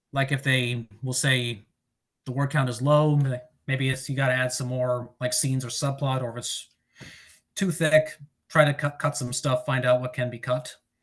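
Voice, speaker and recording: A man's somewhat breathy voice at medium pitch, fairly even in intonation, with long, frequent pauses. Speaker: author giving a writing presentation. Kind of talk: presentation. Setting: online presentation. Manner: fast.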